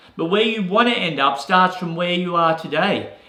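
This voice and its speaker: Audible room echo surrounds a man speaking at a moderate pace in a high-pitched voice. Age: 60s. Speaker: real estate agent and business coach. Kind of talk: motivational talk. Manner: casual, repeats words.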